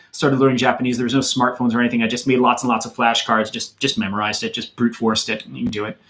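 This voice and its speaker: A man with an American accent at a very fast pace, amid noticeable background noise. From US Midwest, Madison, Wisconsin. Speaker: YouTuber, hiking and Japan channel host. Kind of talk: livestream Q&A with viewers. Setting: livestream. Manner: casual, hesitant with fillers.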